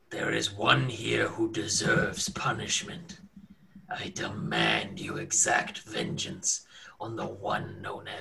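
A man whispers at a fairly slow pace, using a put-on character voice. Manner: commanding.

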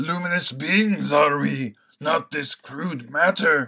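At a fairly slow pace, a man does a put-on character voice pitched fairly high. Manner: wise, solemn.

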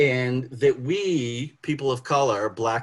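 A man's somewhat breathy, medium-pitched voice with an American accent and ordinary pitch variation. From Boston. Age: 50s. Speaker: sociologist. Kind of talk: panel talk. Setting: video call.

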